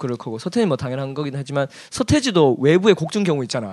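The man's pitch is fairly high and swings very widely. He talks at a very fast pace. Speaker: podcast host, music teacher. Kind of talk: casual chat. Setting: home living room.

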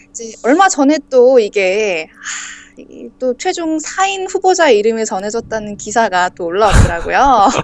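A woman's fairly high voice, cheerful and fairly slow, with very wide pitch swings, big swings in loudness and noticeable background noise. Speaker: welfare TV reporter. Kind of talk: casual chat about culture. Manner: cheerful, laughs often.

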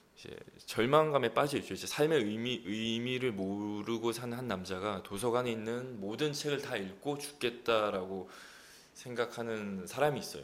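A man's medium-pitched voice with a slight Gyeongsang accent, ordinary pitch variation, big swings in loudness, moderate pace and audible room echo. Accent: slight Gyeongsang dialect slipping through. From Busan, South Korea. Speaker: actor. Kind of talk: casual chat.

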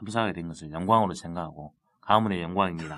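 Very deep and low, this man's voice shows ordinary pitch variation. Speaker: city councillor. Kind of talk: casual chat.

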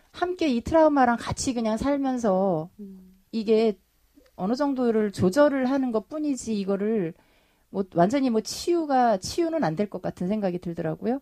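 A woman with a dark, mellow tone speaks at a moderate pace with very wide pitch swings, in a dry, close sound with no echo. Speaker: bereaved mother of a ferry disaster victim. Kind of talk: interview testimony. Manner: halting, many fillers.

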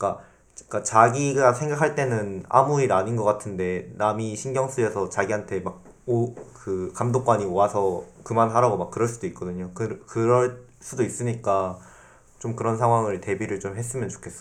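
A man of medium pitch talks in an unremarkable speaking voice at a moderate pace with ordinary pitch variation. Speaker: university student guest. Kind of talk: casual panel discussion with students.

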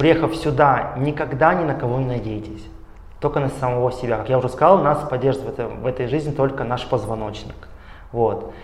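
Medium pitch from a man at a fairly quick pace, with ordinary pitch variation, audible room echo, and noticeable background noise. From Russia. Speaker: doctoral student. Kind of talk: interview. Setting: studio.

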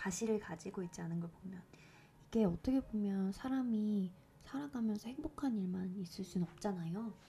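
The voice is dark and mellow, somewhat breathy, and moves at a moderate pace. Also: woman. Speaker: podcast host reading poetry. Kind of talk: casual chat; reading poetry aloud.

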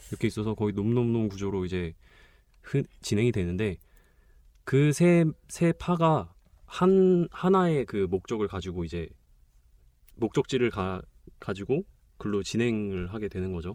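With a dark, mellow tone, a man talks at a fairly slow pace, using very wide pitch swings and long, frequent pauses. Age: 20s. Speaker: film enthusiast guest, film reviewer. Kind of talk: casual chat. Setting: recording studio.

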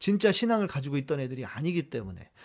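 In a quiet background, a man's pitch swings very widely. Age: 50s. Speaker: pastor hosting a Q&A livestream. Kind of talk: live Q&A stream reading viewer questions.

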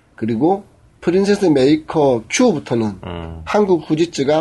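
The voice has a dark, mellow tone, sounds somewhat breathy, and swings very widely in pitch. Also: man. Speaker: podcast co-host. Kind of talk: casual chat. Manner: joking, talkative.

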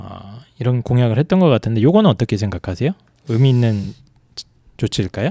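A man talks at a fairly quick pace with lively intonation and a dark, mellow tone. The recording is very clean with a silent background, and the sound is dry and close with no echo. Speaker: podcast co-host. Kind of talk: casual panel discussion on policy.

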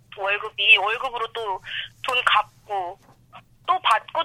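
A woman's fairly high voice with lively intonation over noticeable background noise. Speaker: university student working in nightlife bar. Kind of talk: interview. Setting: phone call on speakerphone.

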